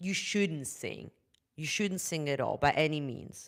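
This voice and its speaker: Lively intonation comes through in a German accent at a moderate pace. The recording is very clean with a silent background. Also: woman. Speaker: vocal coach. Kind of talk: live stream talk. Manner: halting.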